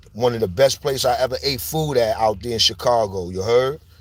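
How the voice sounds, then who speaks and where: Here a man speaks in a New York accent. His tone is animated and his pitch medium. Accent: New York (Bronx) urban. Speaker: street news commentator. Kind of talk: casual monologue. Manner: animated, slang-heavy.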